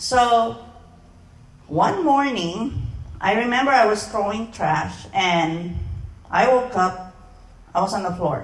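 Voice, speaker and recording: Amid noticeable background noise and audible room echo, a woman with a medium pitch speaks at a very slow pace, her intonation lively and marked by long, frequent pauses. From Philippines. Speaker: sales presenter. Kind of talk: sales pitch.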